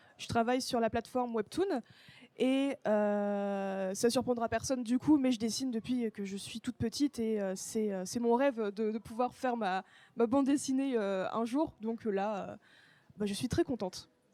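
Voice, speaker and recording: A dark, mellow tone with ordinary pitch variation comes at a moderate pace, in a very clean, dry, close recording with no echo and a silent background. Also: woman, fairly high pitch for a woman. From France. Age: 20s. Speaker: comic author. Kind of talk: live interview. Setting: bookstore event with live audience. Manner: hesitant, many fillers.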